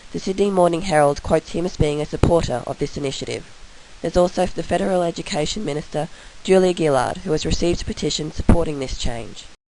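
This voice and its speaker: A woman with an Australian accent speaks at a very fast pace and a fairly low pitch. Her pitch varies in an ordinary way, with noticeable background noise behind her. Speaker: university student. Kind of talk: recorded class presentation.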